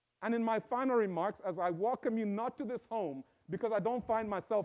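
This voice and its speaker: A man with a Zambian accent speaks at a fairly quick pace. His pitch is high, with ordinary variation. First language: Bemba. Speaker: professor. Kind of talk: inaugural speech. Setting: stage with live audience and Zoom.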